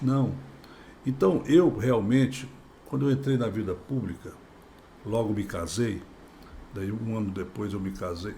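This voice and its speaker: This man's medium-pitched voice has a dark, mellow tone and is somewhat breathy, with ordinary pitch variation. He goes at a fairly slow pace with long, frequent pauses, and room echo is audible. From Brazil, Goiás/Tocantins. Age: 60s. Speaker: politician, former state governor. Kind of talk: podcast interview.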